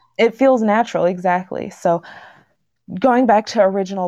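A woman's dark, mellow tone at a moderate pace, with ordinary pitch variation and a quiet background. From Washington state, US West Coast. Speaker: podcast host. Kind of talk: casual chat, reading posts aloud. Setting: livestream.

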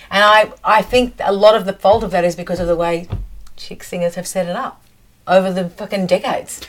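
Speaking at a fairly quick pace with an Australian accent, a woman keeps fairly even intonation but shows big swings in loudness, with noticeable background noise behind her. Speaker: professional singer. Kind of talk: casual chat.

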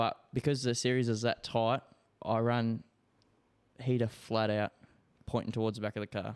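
The delivery is monotone and flat, with very even loudness, a moderate pace, long, frequent pauses, and a dry, close sound with no echo. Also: man, medium pitch for a man. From Darwin, Northern Territory, Australia. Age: 20s. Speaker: racing driver. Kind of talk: casual chat. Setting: home studio.

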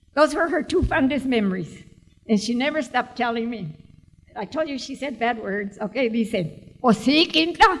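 A woman's high voice at a moderate pace, with big swings in loudness and lively intonation. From Tucson, Arizona. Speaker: author. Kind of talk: live book event talk. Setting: stage with audience.

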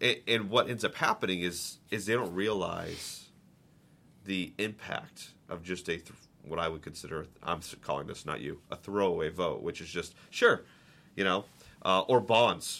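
Showing big swings in loudness, a man speaks at a moderate pace in a bright, sharp tone with fairly low pitch and ordinary pitch variation. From Boston. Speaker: podcast host. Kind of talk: interview. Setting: in person at guest's office. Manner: casual, upbeat.

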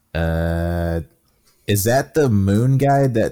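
Music plays behind a man whose pitch is fairly low. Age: 30s. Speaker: gaming podcast co-host. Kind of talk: casual chat.

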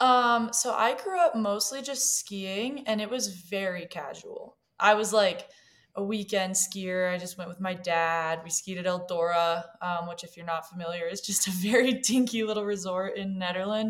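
A woman with a normal speaking voice and an American accent talks at medium pitch and a moderate pace, with ordinary pitch variation and big swings in loudness. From Colorado mountains. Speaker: strength and conditioning coach. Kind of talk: interview.

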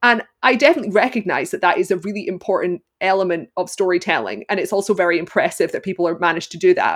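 A woman with a Glaswegian accent speaks at a very fast pace with hardly any pauses, her medium pitch showing ordinary variation. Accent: Glaswegian Scottish. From Scotland, Glasgow. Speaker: film critic and costume analyst. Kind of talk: interview.

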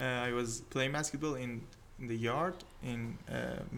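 This man, speaking in a Persian accent, has a medium pitch and ordinary pitch variation. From Iran, Tehran. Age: 20s. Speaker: engineering student. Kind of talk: casual interview. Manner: halting.

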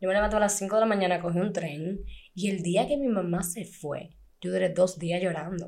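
Audible room echo surrounds a woman who speaks at a moderate pace with a medium pitch and fairly even intonation. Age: 20s. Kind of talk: casual chat.

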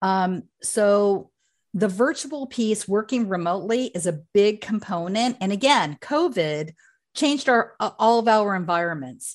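A woman's lively, medium-pitched, fairly slow delivery in an unremarkable speaking voice, over a quiet background. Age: 50s. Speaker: career coach and company founder. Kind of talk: interview.

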